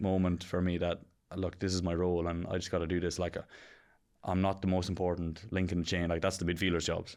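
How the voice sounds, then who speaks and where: A man with an Irish accent talks at a fairly quick pace in a very deep, low voice. The recording is very clean, with a silent background. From County Kilkenny, Ireland. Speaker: professional Australian rules football player. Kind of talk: podcast interview answer. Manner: casual.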